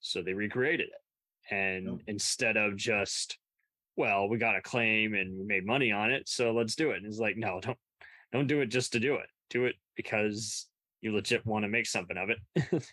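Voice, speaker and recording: Against a quiet background, a man with an ordinary speaking voice and medium pitch talks at a moderate pace with ordinary pitch variation. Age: 30s. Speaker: podcast host. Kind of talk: casual chat.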